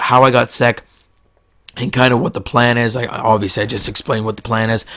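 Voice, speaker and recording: Flat, monotone intonation at a fairly quick pace. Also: man. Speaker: gaming YouTuber. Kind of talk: casual gameplay commentary. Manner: speaking in a lower register.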